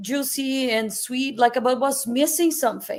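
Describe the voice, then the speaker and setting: A woman with a Portuguese accent speaks at a moderate pace in a high voice. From Brazil. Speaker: chef and food entrepreneur. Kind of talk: interview conversation. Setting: live stream.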